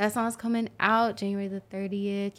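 Heard on a very clean recording with a silent background, a normal speaking voice moves at a moderate pace. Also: woman. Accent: American. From Oklahoma City, Oklahoma. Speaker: rapper. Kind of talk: casual interview.

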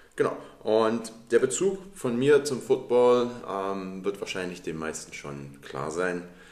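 Over noticeable background noise, a man speaks at a very slow pace with very wide pitch swings and big swings in loudness. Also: medium pitch for a man. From Dresden, Saxony, Germany. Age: 30s. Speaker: podcast co-host, American football player. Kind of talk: casual chat.

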